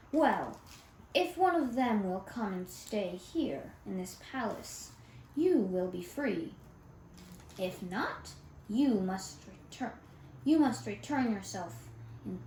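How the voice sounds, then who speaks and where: With a slight echo and light background noise, a woman puts on a gruff character voice at a medium pitch, speaking very slowly with long, frequent pauses. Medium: read story. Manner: gruff, loud.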